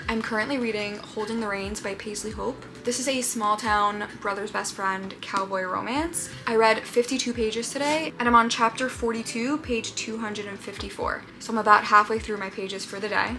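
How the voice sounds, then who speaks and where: A woman with a fairly high voice speaks at a moderate pace with hardly any pauses and fairly even intonation. Noticeable background noise runs underneath. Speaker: booktuber. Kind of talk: casual vlog. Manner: whispering.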